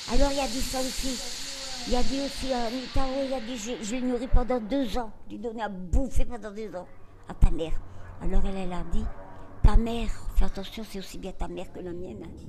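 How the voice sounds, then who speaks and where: Delivered at a fairly quick pace with long, frequent pauses, the voice shows ordinary pitch variation and big swings in loudness, along with audible room echo and noticeable background noise. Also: woman, fairly high pitch for a woman. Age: 80s+. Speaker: grandmother interviewed in family documentary. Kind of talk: intimate family conversation.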